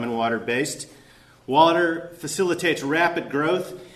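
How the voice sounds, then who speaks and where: A man with a high-pitched voice speaks in a room with audible echo and noticeable background noise. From Alaska. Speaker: historian. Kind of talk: conference lecture. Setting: conference workshop with audience. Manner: halting, many fillers and repeats; hurried.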